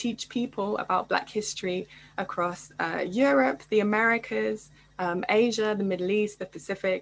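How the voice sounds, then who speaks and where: A woman with a British accent speaks at a medium pitch and a moderate pace. Her pitch varies in an ordinary way over a quiet background. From England. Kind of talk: panel discussion.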